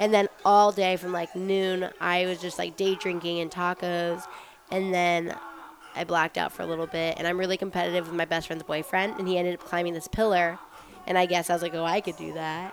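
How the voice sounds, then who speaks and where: Noticeable background noise runs under a woman speaking at a fairly quick pace. Her fairly low-pitched voice has a monotone, flat intonation. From Las Vegas, US. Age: 20s. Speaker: former showgirl telling her story. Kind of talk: casual interview storytelling.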